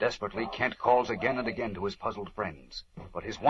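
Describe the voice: Fairly even intonation shapes this plain reading aloud.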